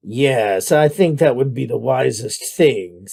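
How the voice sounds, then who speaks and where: Doing a gruff, put-on character voice, a man speaks at a fairly slow pace in a medium pitch with lively intonation. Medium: read story. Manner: gruff, disagreeable.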